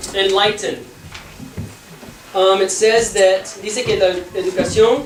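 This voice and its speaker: The speaker has an English accent, with noticeable background noise in the recording. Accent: non-native Spanish, English-speaking. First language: English (speaking Spanish). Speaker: Bible class teacher. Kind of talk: bilingual Bible class lecture. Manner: halting, code-switching Spanish and English.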